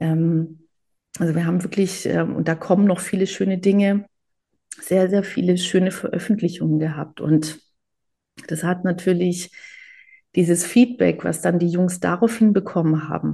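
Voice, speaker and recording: Somewhat breathy and dark, mellow in tone, a woman with a fairly low pitch speaks at a moderate pace with fairly even intonation and long, frequent pauses. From Germany, Greek family. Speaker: photographer and cookbook author. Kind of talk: interview.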